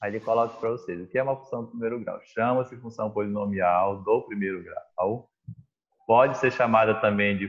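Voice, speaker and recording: A man's fairly even intonation and medium pitch carry a plain, everyday voice at a moderate pace. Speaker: math teacher. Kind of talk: online class lesson. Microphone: unstable, freezing internet connection.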